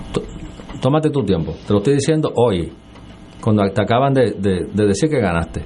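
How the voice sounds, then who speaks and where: A man with long, frequent pauses and very wide pitch swings, noticeable background noise behind him. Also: moderate pace, very even loudness. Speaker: senator and political candidate. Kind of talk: radio interview.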